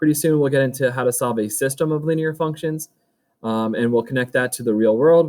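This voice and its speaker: Delivered at a fairly quick pace, the speech shows ordinary pitch variation. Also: man. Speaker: high school math teacher. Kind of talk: recorded virtual back to school night presentation. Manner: fast.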